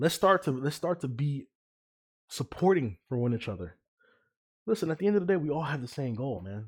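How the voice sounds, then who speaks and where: A man with a fairly high pitch and a somewhat breathy sound talks at a fairly quick pace with very wide pitch swings and long, frequent pauses. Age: 20s. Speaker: podcast host. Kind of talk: casual monologue.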